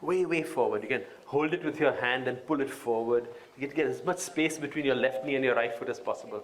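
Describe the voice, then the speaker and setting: A man talks at a fairly quick pace with a fairly high pitch. Noticeable background noise runs behind him. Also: ordinary pitch variation. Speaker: yoga teacher. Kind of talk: yoga class instruction. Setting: live event. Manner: melodious.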